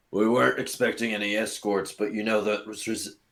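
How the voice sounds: A man's gravelly, put-on character voice, fairly low in pitch, at a fairly quick pace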